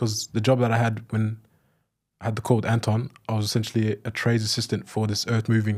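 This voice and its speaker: With an Australian accent, a man speaks at a very fast pace in a somewhat breathy voice with monotone, flat intonation, in a very clean recording with a silent background. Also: medium pitch for a man. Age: 20s. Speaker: former trades assistant turned remote salesperson. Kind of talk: interview.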